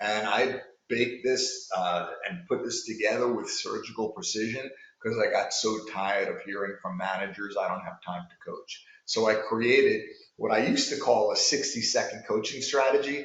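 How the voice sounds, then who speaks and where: Amid audible room echo, a man talks at a moderate pace in a New York accent. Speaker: sales coach. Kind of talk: coaching talk to sales managers.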